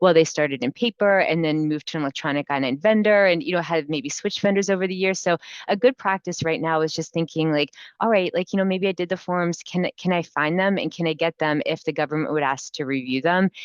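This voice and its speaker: Talking at a very fast pace, a woman has a fairly low pitch and ordinary pitch variation. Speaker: immigration lawyer. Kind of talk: webinar presentation. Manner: hesitant, many fillers.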